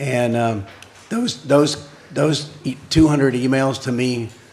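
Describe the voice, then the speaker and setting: Fairly even intonation marks this man's speech, heard with audible room echo. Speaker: village council member. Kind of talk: council meeting discussion.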